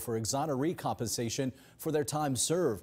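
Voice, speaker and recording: In a plain, everyday voice, a man talks at a fairly quick pace with lively intonation and a fairly high pitch. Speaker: news anchor. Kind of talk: news reading. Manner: steady, polished, formal anchor delivery.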